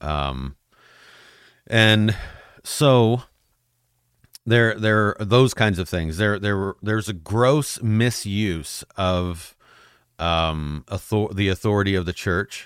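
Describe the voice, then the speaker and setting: A man talks at a very slow pace with long, frequent pauses, his pitch fairly low with ordinary variation. The recording is very clean, with a silent background. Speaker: podcast host. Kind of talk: casual solo podcast monologue. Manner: halting, filler-heavy.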